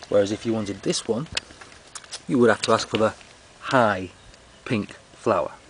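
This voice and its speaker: A man at a medium pitch and a moderate pace, with long, frequent pauses and noticeable background noise. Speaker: comedy gardening presenter. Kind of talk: mock tutorial. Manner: whispering; deadpan.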